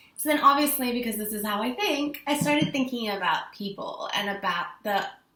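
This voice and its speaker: A woman with an American accent speaks with lively intonation, with audible room echo and noticeable background noise. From mixed: South Africa, England, America. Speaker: vlogger. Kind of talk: personal vlog monologue. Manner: casual, conversational.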